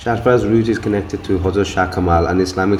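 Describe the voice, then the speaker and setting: At a very fast pace and with fairly even intonation, a man speaks amid noticeable background noise and audible room echo. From grew up abroad, left Bangladesh as a toddler. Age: 40s. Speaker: travel and heritage video narrator. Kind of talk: scripted narration. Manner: formal.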